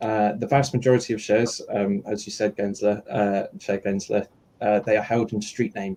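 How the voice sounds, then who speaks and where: A dark, mellow tone at a fairly quick pace, with monotone, flat intonation. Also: man. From outside the US. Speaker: retail investor advocate. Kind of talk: panel Q&A. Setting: live online audio stream. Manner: halting, many fillers.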